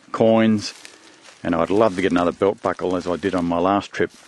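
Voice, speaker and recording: A man with an Australian accent speaks at a moderate pace in a very deep, low pitch with fairly even intonation, over noticeable background noise. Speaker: metal detecting hobbyist. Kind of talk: casual talk to camera. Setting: outdoors.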